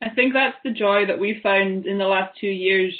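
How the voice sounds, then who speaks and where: With a Highland Scottish accent, a woman speaks at a moderate pace in a medium pitch. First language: Scottish Gaelic. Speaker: artist and graphic designer. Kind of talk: panel discussion. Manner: halting, with many repetitions.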